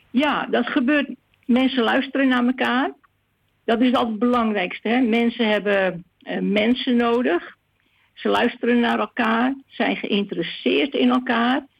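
The woman's pitch is fairly high, with ordinary variation and some vocal fry. She talks at a fairly slow pace. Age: 70s. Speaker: discussion group organizer. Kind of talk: interview. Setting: phone call.

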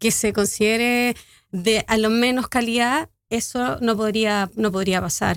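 In a Chilean accent, a woman talks at a fairly slow pace, her pitch fairly high with ordinary variation. The sound is dry and close with no echo, and the recording is very clean over a silent background. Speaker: activist. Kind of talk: radio interview.

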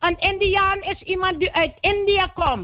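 This is a woman's voice. She talks at a fairly slow pace. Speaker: caller. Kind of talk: phone-in call.

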